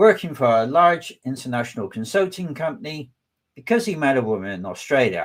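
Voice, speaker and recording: The speaker has a West Country accent and a fairly quick pace. The pitch swings very widely. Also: man, fairly high pitch for a man. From southwest England. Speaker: data engineering manager and tech speaker. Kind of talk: webinar presentation. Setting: online webinar.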